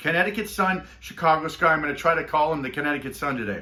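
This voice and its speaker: Someone talks at a very fast pace in an animated tone over noticeable background noise. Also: man. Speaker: sports betting tipster. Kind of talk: casual monologue.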